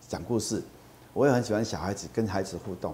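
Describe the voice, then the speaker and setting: A man's fairly quick delivery at medium pitch, an ordinary speaking voice. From Taiwan, Kaohsiung. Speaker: nonprofit executive. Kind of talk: interview.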